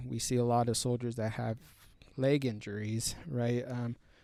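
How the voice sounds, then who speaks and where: A man with a Spanish accent speaks at medium pitch and a moderate pace, in a dark, mellow tone. His intonation is monotone and flat, on a very clean recording with a silent background. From US, Mexican-American family. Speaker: army combat medic. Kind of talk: podcast interview. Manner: halting, many fillers and restarts.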